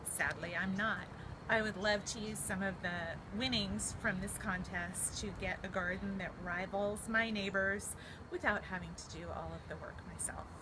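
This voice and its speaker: A woman with an American accent talks at a moderate pace, her medium-pitched voice flat and monotone. The room echoes audibly, and background noise is noticeable. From US West Coast, Berkeley, California. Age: 40s. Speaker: home cook. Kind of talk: cooking tutorial. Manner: casual, with filler ums.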